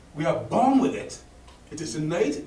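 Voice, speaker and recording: A man with an African accent and very wide pitch swings, at a moderate pace, with audible room echo and noticeable background noise. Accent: African accent, kept. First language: Akan. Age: 60s. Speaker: professor of linguistics. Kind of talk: conference address. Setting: conference hall with audience.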